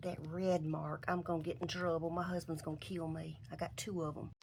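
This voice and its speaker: This woman has a Southern US accent and a fairly low pitch. She talks at a fairly quick pace. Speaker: upcycling YouTuber. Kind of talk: casual craft tutorial. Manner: casual, chatty.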